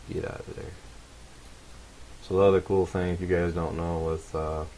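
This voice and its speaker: A man's mumbling, monotone voice at a moderate pace, very deep and low in pitch, with flat intonation, big swings in loudness and noticeable background noise. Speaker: game modding tutorial maker. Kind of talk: tutorial. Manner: casual.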